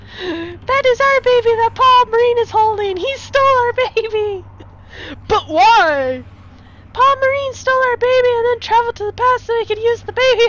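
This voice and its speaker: In a squeaky, put-on character voice with extremely high pitch, a woman talks at a moderate pace over clear background noise. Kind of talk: comic overacting. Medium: solo performance.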